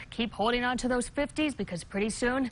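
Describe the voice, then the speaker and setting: Upbeat and at a fairly quick pace, a woman speaks with ordinary pitch variation. There is light background noise. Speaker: TV meteorologist. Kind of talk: local TV weather forecast, reading temperatures and wind across counties. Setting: TV studio. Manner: brisk, upbeat delivery listing town-by-town readings; chatty and playful, laughs lightly with desk. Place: studio.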